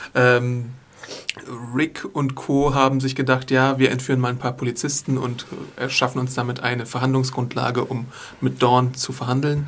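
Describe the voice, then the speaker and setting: A man's monotone, flat delivery at a moderate pace amid noticeable background noise. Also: medium pitch for a man. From USA. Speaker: podcast host and news writer. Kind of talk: casual chat. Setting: studio.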